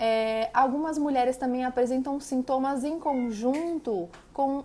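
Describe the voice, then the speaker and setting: Her pitch high and its variation ordinary, a woman speaks. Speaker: nutritionist. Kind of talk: live stream talk.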